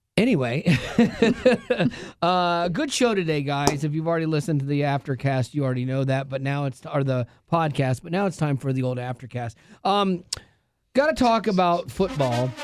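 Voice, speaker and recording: A man with a fairly high pitch and ordinary pitch variation speaks with long, frequent pauses on a very clean recording with a silent background. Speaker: radio show host. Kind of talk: casual chat. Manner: fast; animated.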